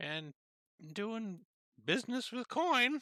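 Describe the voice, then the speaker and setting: A put-on character voice is heard at a fairly slow pace. Its pitch is fairly high. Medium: actual play. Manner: rambling, hesitant, folksy.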